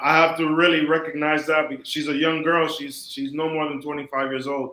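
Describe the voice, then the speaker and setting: A man with a fairly high pitch speaks at a moderate pace in a monotone, flat intonation. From Miami, US, Dominican family. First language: Spanish. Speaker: rabbi and scholar. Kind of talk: interview.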